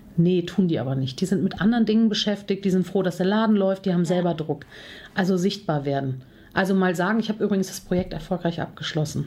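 The voice has a dark, mellow tone and is somewhat breathy. It moves at a very fast pace. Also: woman, medium pitch for a woman, ordinary pitch variation. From Germany, Cologne. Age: 40s. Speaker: confidence coach and speaker. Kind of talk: podcast interview.

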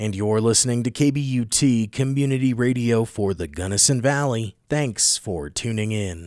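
In a very clean recording with a silent background, a man with an ordinary speaking voice talks at a fairly slow pace and medium pitch, with ordinary pitch variation and hardly any pauses. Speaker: radio newscaster. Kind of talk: news reading, scripted local radio newscast. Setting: radio studio. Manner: formal, steady, even-paced newsreader delivery.

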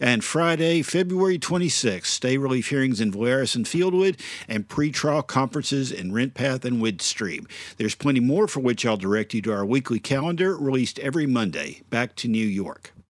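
An ordinary speaking voice from a man, medium in pitch with lively intonation and a fairly quick pace, on a very clean recording with a silent background. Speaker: financial reporter. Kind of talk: news reading.

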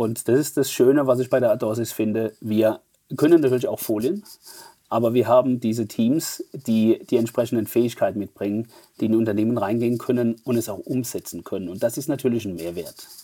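Talking at a fairly quick pace, a man with a Mannheim accent has a medium pitch, a dark, mellow tone and ordinary pitch variation. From Germany, Mannheim. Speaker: fintech executive. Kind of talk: interview.

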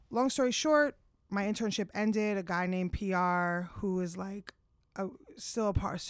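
A woman speaks in an American accent. It is an unremarkable speaking voice with ordinary pitch variation. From New Jersey (Bergen County). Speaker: music artist manager. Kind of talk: casual interview.

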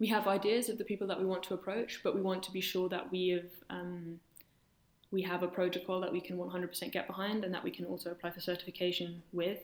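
A woman with a London accent talks at a fairly quick pace in a medium-pitched voice. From London, England. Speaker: engineer and incoming PhD student. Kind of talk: interview.

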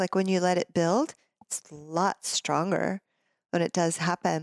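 A woman talks at a fairly slow pace in an unremarkable speaking voice of medium pitch. The recording is very clean, with a silent background. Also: dry, close sound with no echo. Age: 50s. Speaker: tantric yoga and intimacy teacher. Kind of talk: casual interview.

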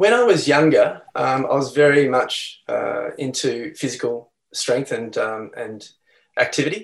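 A man speaks at a very slow pace with an Australian accent. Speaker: health practitioner and company founder. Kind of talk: interview. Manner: calm.

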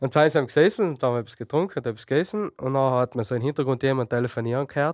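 Speaking very fast in a South Tyrolean accent, a man at medium pitch with ordinary pitch variation comes through a very clean recording with a silent background and a dry, close sound with no echo. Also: hardly any pauses. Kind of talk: casual chat.

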